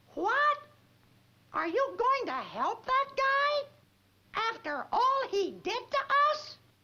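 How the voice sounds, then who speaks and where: A squeaky, extremely high cartoonish character voice at a very slow pace, with long, frequent pauses. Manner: lively, exclamatory.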